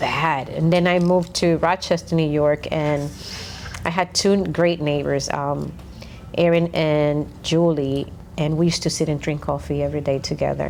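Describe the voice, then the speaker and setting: A woman speaks with a Dominican accent. Her pitch is very deep and low. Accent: Dominican Spanish accent, somewhat thick. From Dominican Republic. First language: Spanish. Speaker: podcast co-host. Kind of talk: casual chat.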